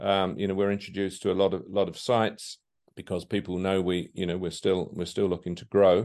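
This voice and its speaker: A man with a southern English accent, very deep and low-pitched, talking fairly quickly in a monotone, flat delivery. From London. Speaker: hotel company chairman. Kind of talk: interview. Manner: halting.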